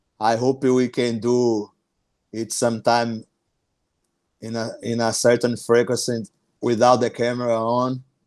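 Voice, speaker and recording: A man with a Brazilian accent talks at medium pitch and a fairly slow pace, with long, frequent pauses and monotone, flat intonation. The recording is very clean, with a silent background. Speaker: small business owner. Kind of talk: podcast interview. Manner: halting, frequent repetitions.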